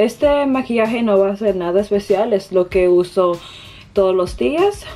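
Speaking at a moderate pace, a woman has a medium pitch, a dark, mellow tone and lively intonation.

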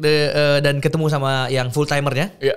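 A man speaks very fast in a fairly high voice for a man. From Makassar, Indonesia; Indonesia. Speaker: content creator; podcast guest. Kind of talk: casual chat. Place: studio. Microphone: studio mic.

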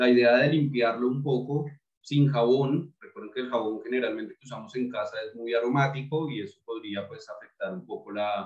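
Over a quiet background with audible room echo, a man talks at a moderate pace with ordinary pitch variation. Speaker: beer tasting host. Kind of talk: tutorial. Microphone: webcam.

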